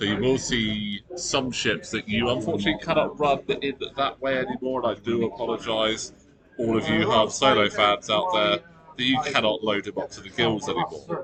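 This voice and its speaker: There is noticeable background noise. A man speaks at medium pitch. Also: ordinary pitch variation, moderate pace. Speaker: tournament commentator. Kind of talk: live commentary. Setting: convention hall with players nearby. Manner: casual, conversational; kept quiet to avoid distracting players.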